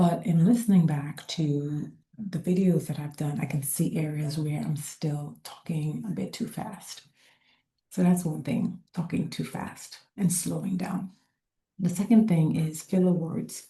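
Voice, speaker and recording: Soft-spoken and fairly slow, a woman talks with a fairly low pitch, a dark, mellow tone, vocal fry and ordinary pitch variation. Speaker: lifestyle vlogger. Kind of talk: casual talk to camera. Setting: public co-working space.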